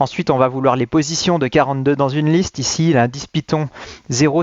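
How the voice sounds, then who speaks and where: Medium in pitch, a man's voice moves at a fairly quick pace with fairly even intonation. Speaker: teacher. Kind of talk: lecture. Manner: fast.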